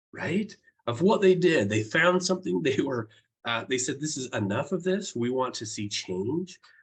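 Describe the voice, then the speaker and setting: Very wide pitch swings run through this man's fairly high, somewhat breathy voice. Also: moderate pace. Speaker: professor and keynote speaker. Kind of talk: keynote speech.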